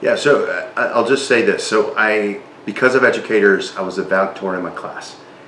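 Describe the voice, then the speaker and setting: A man talks at a fairly quick pace. There is noticeable background noise and audible room echo. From South Texas / Mexican border (Reynosa). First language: Spanish. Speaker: non-profit leader. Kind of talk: interview.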